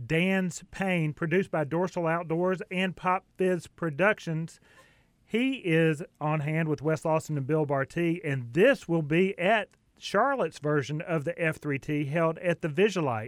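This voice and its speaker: This man speaks with a Southern US accent at a fairly slow pace. His pitch is high, with ordinary variation. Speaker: radio host. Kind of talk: radio interview.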